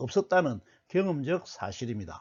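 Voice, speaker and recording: A man talking at a fairly slow pace. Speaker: lecturer. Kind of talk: lecture. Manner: formal.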